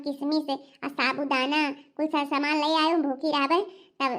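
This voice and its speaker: Someone performs a cartoonish character voice at a moderate pace on a very clean recording with a silent background. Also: female-sounding voice. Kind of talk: comic rustic dialect cartoon. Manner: gossipy.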